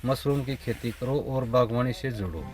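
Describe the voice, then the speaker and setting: This is an ordinary speaking voice. Its intonation is fairly even. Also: man. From Haryana, Rohtak district. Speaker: farmer. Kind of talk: interview. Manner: rustic colloquial speech.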